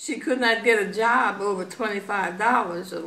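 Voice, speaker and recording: A woman in an American accent speaks at a very slow pace with ordinary pitch variation, and noticeable background noise sits behind her. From Elkton, Maryland. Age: 80s+. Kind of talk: interview answer.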